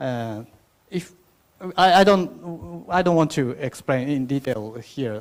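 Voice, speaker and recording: A man with a Japanese accent speaks at a fairly slow pace with lively intonation. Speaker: event host. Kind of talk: opening remarks at conference. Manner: halting, many fillers.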